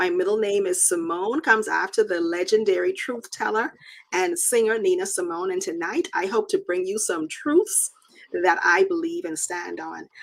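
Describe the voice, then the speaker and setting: A woman at a moderate pace with a slight Bahamian accent. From Bahamas, Nassau. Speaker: technology manager with a doctorate. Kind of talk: talk show interview.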